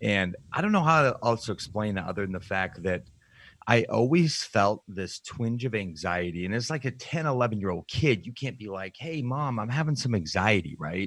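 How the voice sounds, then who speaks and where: Captured on a very clean recording with a silent background, a man with an American accent speaks in a plain, everyday voice at a fairly low pitch, with lively intonation and a moderate pace. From Utah, US. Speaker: nutrition coach and bodybuilder. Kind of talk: interview, personal testimony.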